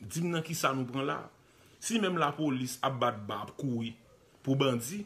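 With lively intonation and a moderate pace, a man talks at a fairly high pitch. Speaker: online commentator, news video host. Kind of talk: live video commentary on news footage. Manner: animated.

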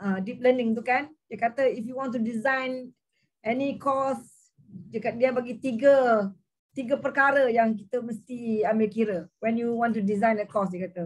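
A woman talks in an unremarkable speaking voice, fairly high in pitch. Her intonation is fairly even, over a quiet background. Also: fairly slow pace. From Malaysia. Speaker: teacher training lecturer, participant; teacher training lecturer. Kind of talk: casual discussion. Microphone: video call.

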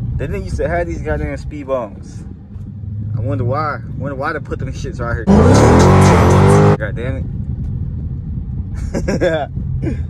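Dry sound with no echo, a moderate pace broken by long, frequent pauses, music in the background. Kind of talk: casual vlog chat. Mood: relaxed, joking. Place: car. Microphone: phone near.

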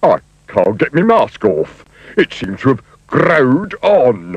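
At a fairly slow pace, a man performs in a put-on character voice.

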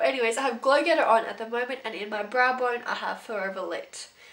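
Very fast talk from a woman, with noticeable noise in the background. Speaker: beauty YouTuber. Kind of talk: casual video monologue, product review. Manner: animated, enthusiastic.

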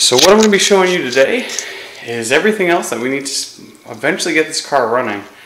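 The speech runs at a very fast pace. Room echo is audible, with light background noise. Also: man. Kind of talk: casual vlog chat. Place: garage. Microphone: phone near.

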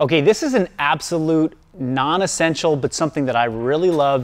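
A man talks with ordinary pitch variation. Light background noise can be heard. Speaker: coach showing his gym. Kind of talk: tutorial. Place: gym. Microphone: lapel.

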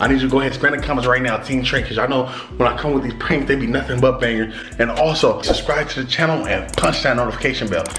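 There is noticeable background noise behind this man. He talks at a very fast pace. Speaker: prank channel vlogger. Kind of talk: casual vlog chat. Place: home room.

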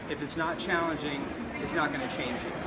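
Loud background noise runs behind a man speaking. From Texas. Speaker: environmental filmmaker. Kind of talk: casual interview. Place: hall. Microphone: phone near.

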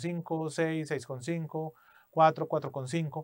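A fairly high-pitched man against a quiet background. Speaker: English test instructor. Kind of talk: tutorial; personal anecdote. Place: studio.

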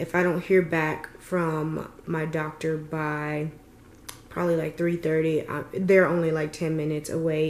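A woman's very deep, low voice at a fairly slow pace, with audible room echo. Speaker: vlogger. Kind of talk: casual vlog chat. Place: home room. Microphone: phone near.

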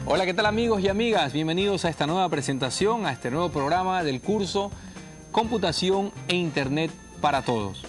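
A man with a high pitch at a fairly quick pace, over clear background music. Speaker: TV course host. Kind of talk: educational TV presentation. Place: studio. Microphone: lapel.

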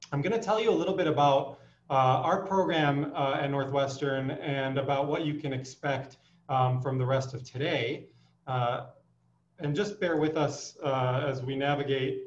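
A somewhat breathy man, with audible room echo. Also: ordinary pitch variation, moderate pace. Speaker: physician host. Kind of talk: welcome address. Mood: warm, welcoming. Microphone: video call.

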